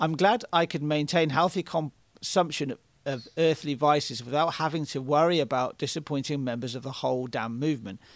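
A man with a British accent speaks at a moderate pace, his pitch varying in an ordinary way. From Britain. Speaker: podcast co-host and photographer. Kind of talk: casual conversation, reading and responding to a Reddit post. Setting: video call.

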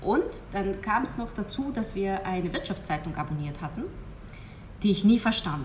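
In a room with audible echo, a woman talks with lively intonation at a fairly low pitch. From Hungary. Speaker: hypnosis coach. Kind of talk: interview.

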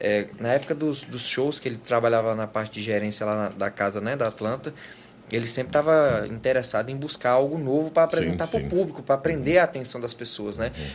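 A man's very fast delivery with lively intonation. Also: medium pitch for a man. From Goiás, Brazil. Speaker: advertising agency founder, guest. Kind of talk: casual interview chat.

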